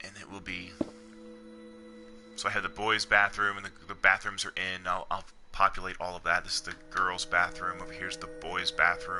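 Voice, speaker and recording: A man speaks at a fairly low pitch with very wide pitch swings and big swings in loudness. Music plays quietly in the background. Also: moderate pace. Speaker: video game streamer. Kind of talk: live game stream chat. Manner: quiet, low-key; hesitant, repeats words.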